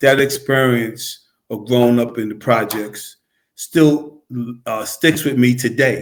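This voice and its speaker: A man speaks at a fairly slow pace. His pitch is medium and his intonation fairly even. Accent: New York. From New York City, Queensbridge. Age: 70s. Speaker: former basketball player and coach. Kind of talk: casual interview chat. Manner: repetitive, stammering restarts.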